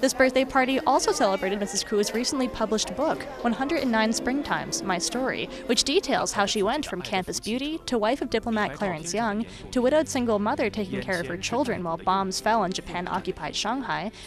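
Over clear background music, a woman talks at a fairly quick pace with hardly any pauses and lively intonation. The sound is dry, with no echo. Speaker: TV news reporter. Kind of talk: TV news feature narration.

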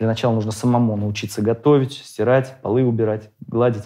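Against a quiet background, a man talks at a very fast pace in a dark, mellow tone with fairly even intonation. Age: 30s. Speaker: father of a large polygamous family. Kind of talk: debate; debate argument, conversational. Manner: halting. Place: studio.

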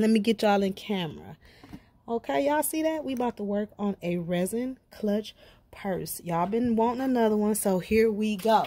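A woman's dark, mellow voice at a moderate pace, with ordinary pitch variation. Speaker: craft vlogger. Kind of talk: casual vlog chat. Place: garden. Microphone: phone near.

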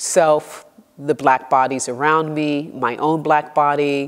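The woman's pitch is very deep and low. She talks at a fairly slow pace against a quiet background. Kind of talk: interview answer. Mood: reflective, engaged. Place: studio. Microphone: lapel.

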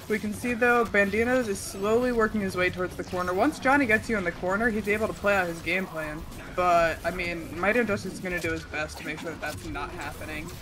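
Amid noticeable background noise, a woman talks at a very fast pace with hardly any pauses and ordinary pitch variation. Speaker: esports commentator. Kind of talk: live tournament commentary as co-host, fast and energetic. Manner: energetic, fast. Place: home room. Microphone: headset.

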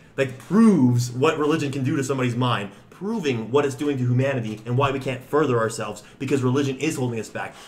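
A man speaks at a medium pitch with a slightly mellow tone and ordinary pitch variation. His pace is fast, with few pauses.

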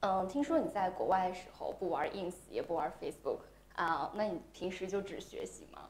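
At a moderate pace, a woman talks in an ordinary speaking voice at medium pitch, with lively intonation and big swings in loudness. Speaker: livestream interviewer. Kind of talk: interview.

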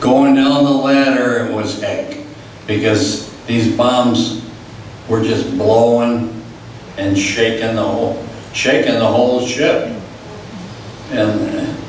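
A man talks at a very slow pace, with audible room echo and light background noise. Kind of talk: personal war story presentation. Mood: sober recollection of disaster. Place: hall.

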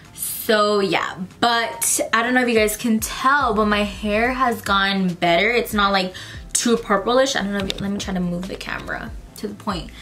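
Faint music plays in the background as a woman talks at a moderate pace with fairly even intonation. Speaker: vlogger. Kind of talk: casual vlog chat. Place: home room.

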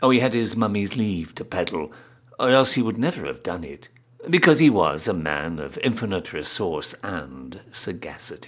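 Fairly low and marked by vocal fry, a man's voice moves at a moderate pace. His pitch swings very widely. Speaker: town crier. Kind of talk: poetry reading, storybook narration.

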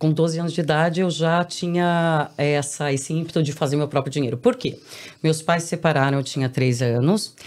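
A woman with a very deep, low pitch, ordinary pitch variation and a moderate pace. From Brazil, São Paulo. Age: 40s. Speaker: entrepreneur and author; podcast guest. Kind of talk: interview. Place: studio. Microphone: studio mic.

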